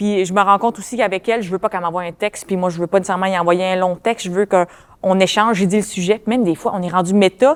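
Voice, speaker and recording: A woman's medium-pitched voice at a very fast pace, hardly any pauses, fairly even intonation, dry and close with no echo. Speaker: comedian. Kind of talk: casual chat.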